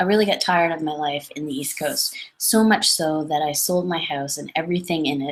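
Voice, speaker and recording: With a Canadian accent, a woman speaks in a lively intonation. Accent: noticeable Canadian. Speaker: numerologist. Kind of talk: webinar talk. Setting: online webinar. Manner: casual, with many self-corrections.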